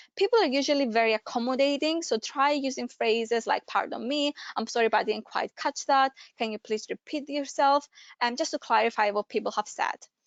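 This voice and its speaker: Speaking at a fairly quick pace, a high-pitched woman with a non-native accent shows ordinary pitch variation. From Greece. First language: Greek. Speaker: careers adviser. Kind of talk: webinar presentation. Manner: hesitant, many fillers.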